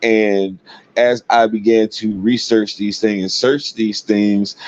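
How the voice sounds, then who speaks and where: In a monotone, flat delivery, a man speaks at a fairly low pitch and a fairly slow pace. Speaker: religious commentator. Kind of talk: personal storytelling monologue. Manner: hesitant fillers; gets loud and aggressive when passionate.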